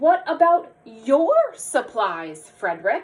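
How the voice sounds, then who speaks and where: Using a put-on character voice, the woman pitches her speech high. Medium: read story.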